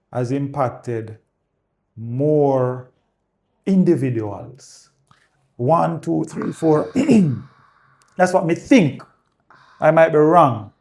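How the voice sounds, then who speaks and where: At a very slow pace with long, frequent pauses, a man with a Jamaican accent speaks at a fairly high pitch with lively intonation. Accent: Jamaican, patois-inflected. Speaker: realtor. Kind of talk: casual chat. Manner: animated.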